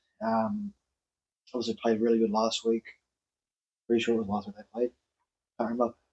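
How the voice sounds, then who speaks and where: A man speaks with an Australian accent and fairly even intonation. The sound is dry and close, with no echo. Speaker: rugby league podcast host. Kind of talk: casual sports chat. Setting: outdoors. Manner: halting.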